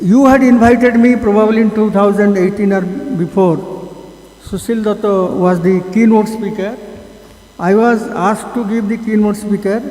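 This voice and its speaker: With fairly even intonation, a high-pitched man speaks at a moderate pace. Noticeable background noise and audible room echo accompany him. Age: 80s+. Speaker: conference speaker, conservationist. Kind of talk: conference talk. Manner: halting.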